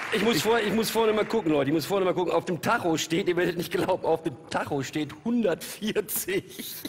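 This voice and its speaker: Over light background noise, a man with a high pitch speaks at a moderate pace with hardly any pauses, ordinary pitch variation and very even loudness. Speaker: TV talk show guest. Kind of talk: casual banter. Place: studio. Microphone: headset.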